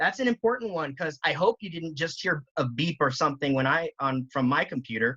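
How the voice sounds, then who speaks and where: The speech moves at a fairly quick pace with hardly any pauses over a quiet background. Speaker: educator giving a teacher training. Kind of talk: tutorial. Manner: fast. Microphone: video call.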